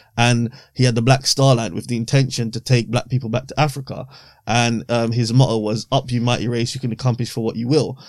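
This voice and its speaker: A man speaks fairly quickly at a medium pitch, in a monotone with flat intonation. The recording is very clean, with a silent background. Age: 30s. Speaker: author. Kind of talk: casual chat.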